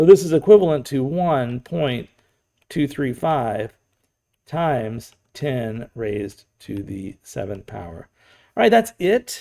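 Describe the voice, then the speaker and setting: A man's raspy, put-on character voice at a medium pitch, fairly slow, with very wide pitch swings and big swings in loudness. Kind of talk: teaching, explanatory.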